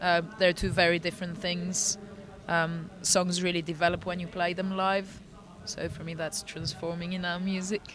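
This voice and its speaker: Over noticeable background noise, a woman speaks at a moderate pace in a fairly low pitch, her intonation monotone and flat. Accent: Bulgarian. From Bulgaria. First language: Bulgarian. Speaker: singer in a synth-pop band. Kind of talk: interview. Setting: festival backstage.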